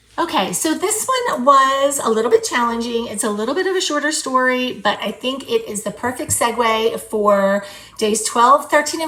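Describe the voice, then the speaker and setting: A woman speaks with lively intonation at a moderate pace. Noticeable background noise runs behind her. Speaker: journaling video creator. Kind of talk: crafting tutorial chat. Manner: casual, chatty.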